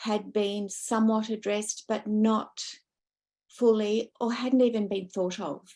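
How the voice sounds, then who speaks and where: With an Australian accent, the voice is dark and mellow in tone, monotone and flat, and fairly slow, over a quiet background. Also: woman, fairly high pitch for a woman. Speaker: academic researcher. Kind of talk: panel discussion. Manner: loud.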